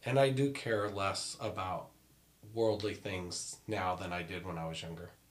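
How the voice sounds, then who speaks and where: At a fairly slow pace, a man with an unremarkable speaking voice talks in a fairly low pitch, with ordinary pitch variation and big swings in loudness. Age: 40s. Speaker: married guest sharing marriage advice. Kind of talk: casual chat.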